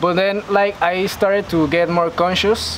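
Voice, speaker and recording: Speech in a Panamanian accent comes at a fairly slow pace over noticeable background noise. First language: Spanish. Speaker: university student and vegan influencer. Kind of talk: interview. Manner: halting, many fillers.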